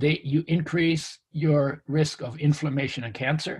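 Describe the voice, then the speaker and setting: A man's voice sits fairly high and comes across somewhat breathy. He moves at a fairly slow pace with ordinary pitch variation. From Canada, after early childhood in wartime Europe. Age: 70s. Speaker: nutrition author and health expert. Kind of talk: interview conversation.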